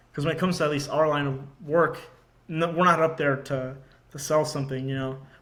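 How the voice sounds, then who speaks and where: A man with an American accent at a fairly high pitch, very fast and flat in a monotone, with audible room echo. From Georgia, US. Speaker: marine intelligence officer. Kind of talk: casual chat.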